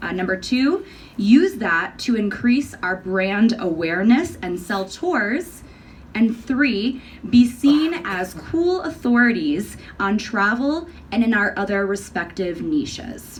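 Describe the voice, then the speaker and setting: Speaking at a very slow pace in an American accent, a woman with a fairly high pitch makes very wide pitch swings amid noticeable background noise and audible room echo. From New York. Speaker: conference presenter. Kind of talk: conference talk.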